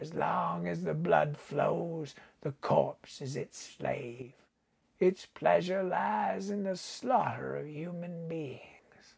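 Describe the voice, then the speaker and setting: Mumbling in a put-on character voice, a man uses a raspy, fairly high pitch at a very slow pace with big swings in loudness. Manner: slow, mumbling, dreamy.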